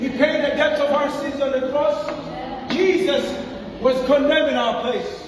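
With clear background noise behind him, a man speaks at an extremely high pitch, a fairly slow pace and fairly even intonation.

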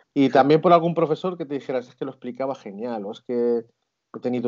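With ordinary pitch variation, a man talks fairly quickly in front of a quiet background. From Spain. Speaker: schoolteacher and traveller; schoolteacher. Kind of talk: casual interview. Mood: friendly, warm. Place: home room. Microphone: video call.

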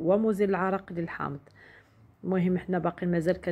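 A woman talks with a Moroccan accent. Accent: Moroccan Darija with French loanwords. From Morocco. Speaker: beauty product sales vlogger. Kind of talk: product demonstration vlog. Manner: halting with fillers. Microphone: phone near.

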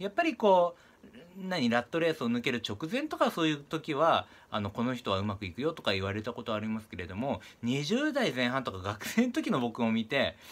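Very wide swings in pitch from a man, at a fairly quick pace. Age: 30s. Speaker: real estate investor. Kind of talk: monologue to camera. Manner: many filler sounds. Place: home room. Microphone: phone near.

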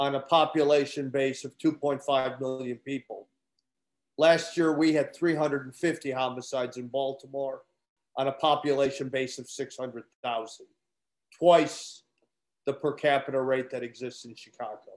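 A fairly slow pace in a flat monotone. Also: man. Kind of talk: informal lecture to students. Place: kitchen. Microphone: webcam.

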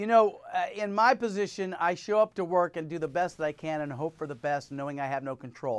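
A man speaks at a fairly quick pace with a high pitch and lively intonation. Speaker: TV host. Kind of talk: interview. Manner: laughs easily. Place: studio. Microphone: lapel.

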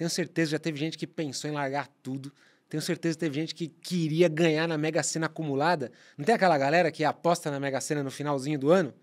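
A man talks at a very fast pace, fairly high in pitch and fairly even in intonation, against a quiet background. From Brazil. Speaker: podcast co-host and marketer; podcast co-host. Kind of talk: casual chat. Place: studio. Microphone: studio mic.

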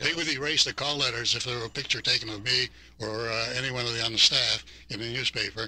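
Someone with an American accent talks at a very fast pace in a dry sound with no echo. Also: man. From US Midwest. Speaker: retired radio broadcaster and ad salesman. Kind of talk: reminiscing radio conversation. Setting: radio studio. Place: studio.

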